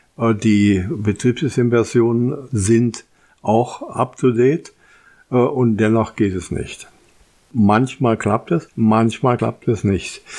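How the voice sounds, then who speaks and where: A man's dark, mellow voice at a very slow pace, with ordinary pitch variation. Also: medium pitch for a man. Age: old. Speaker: tech podcast host. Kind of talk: solo podcast monologue.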